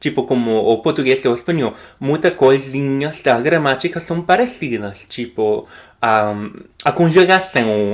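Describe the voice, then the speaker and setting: In an English accent, a man talks at a fairly slow pace and a medium pitch on a very clean recording with a silent background. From United States. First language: English (speaking Portuguese). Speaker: language learner vlogger. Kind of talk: casual vlog talk to camera. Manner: halting, many fillers and restarts.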